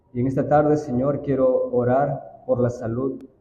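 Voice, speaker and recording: A man speaks at a very slow pace. His voice is somewhat breathy, with a dark, mellow tone. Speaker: church elder. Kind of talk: prayer.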